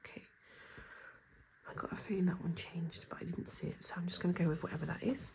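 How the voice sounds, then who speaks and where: Whispering at a very fast pace, a woman leaves long, frequent pauses. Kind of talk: casual talk to camera.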